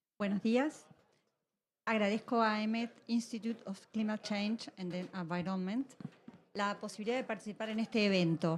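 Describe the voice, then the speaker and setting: Somewhat breathy and fairly quick, a woman speaks at a fairly high pitch with ordinary pitch variation. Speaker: policy advisor. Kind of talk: conference panel talk. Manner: formal.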